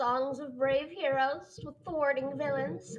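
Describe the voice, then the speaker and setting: A woman puts on a character voice, pitched high and spoken at a fairly slow pace. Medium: read story. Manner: haughty, patronizing.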